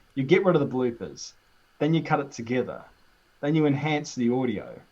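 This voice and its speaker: Talking at a fairly quick pace, a man with a strong New Zealand accent uses a fairly high pitch and ordinary pitch variation. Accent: thick New Zealand. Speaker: YouTuber. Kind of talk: casual chat.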